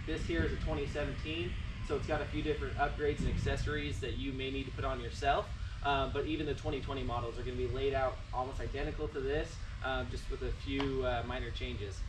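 A man speaks very quickly over noticeable background noise. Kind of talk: product walkthrough tutorial. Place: garage. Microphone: camera far.

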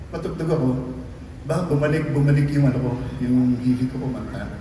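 Someone speaks at a fairly quick pace, with light background noise and audible room echo. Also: man. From Philippines. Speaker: singer. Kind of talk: stage banter to a concert audience. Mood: warm, joking, reminiscing. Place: stage.

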